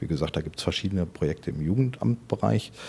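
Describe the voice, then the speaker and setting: Using lively intonation at a fairly quick pace, a man speaks with a very deep, low pitch, vocal fry, and a dark, mellow tone. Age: 40s. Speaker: head of a municipal health department. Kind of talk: interview.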